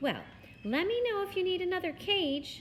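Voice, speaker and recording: A put-on character voice that sounds female comes out squeaky and extremely high-pitched at a moderate pace, with clear background noise behind it. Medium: read story. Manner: brisk, demanding.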